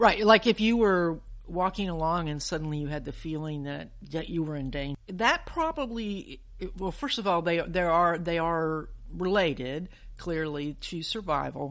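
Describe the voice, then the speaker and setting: A plain, everyday voice, a woman's, fairly low, with an American accent, ordinary pitch variation and a moderate pace. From US South, Alabama (Huntsville). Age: 60s. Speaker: physician and science podcast host. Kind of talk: interview. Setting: remote call.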